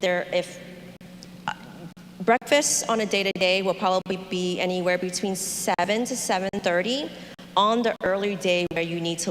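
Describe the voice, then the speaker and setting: A woman's medium-pitched voice at a moderate pace, with fairly even intonation, over noticeable background noise. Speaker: tour company representative. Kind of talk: information meeting presentation.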